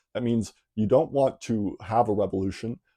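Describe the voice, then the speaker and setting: The voice is dark and mellow in tone, at a moderate pace. The recording is very clean with a silent background and a dry, close sound with no echo. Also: man. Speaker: political commentary youtuber. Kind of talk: casual explainer monologue. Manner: frequent fillers, tag questions.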